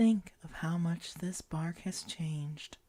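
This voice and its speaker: Her voice has a dark, mellow, gentle tone and is somewhat breathy. The woman speaks at a very slow pace with ordinary pitch variation. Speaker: ASMR guided relaxation host. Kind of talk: guided imagery relaxation. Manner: slow, gentle, reassuring.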